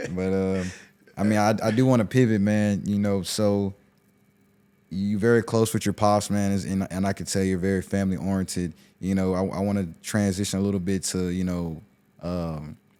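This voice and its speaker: A man with a Southern US accent speaks at a fairly low pitch and moderate pace, his tone dark and mellow and his intonation fairly even, in a very clean recording with a silent background. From US South. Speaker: podcast host. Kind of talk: casual chat.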